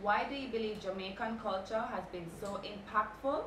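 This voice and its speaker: Noticeable background noise sits behind a woman's voice. She speaks at a fairly slow pace with a fairly high pitch and ordinary pitch variation. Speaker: interviewer, radio host. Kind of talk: interview questions. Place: home room.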